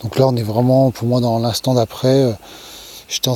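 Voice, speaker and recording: The man holds a medium pitch and a fairly quick pace, his intonation monotone and flat. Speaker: YouTuber sharing personal experience. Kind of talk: casual vlog monologue. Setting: outdoors at night. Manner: soft-spoken; hesitant, many fillers.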